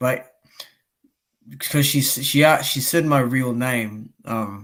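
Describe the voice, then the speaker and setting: The recording is very clean, with a silent background. A man with a medium pitch speaks at a very slow pace. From Australia. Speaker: boxing YouTuber, live streamer. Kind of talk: casual chat. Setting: live stream. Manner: animated.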